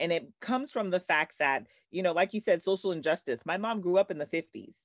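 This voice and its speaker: Talking at a very fast pace, a woman with a fairly low pitch and vocal fry sounds bubbly and animated, her pitch swinging very widely against a quiet background. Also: dry, close sound with no echo. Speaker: success coach and author. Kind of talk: casual interview. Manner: bubbly, animated.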